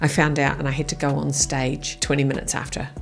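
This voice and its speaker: Music plays in the background as a woman speaks with a New Zealand accent. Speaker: keynote speaker. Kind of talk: podcast interview answer. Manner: blunt.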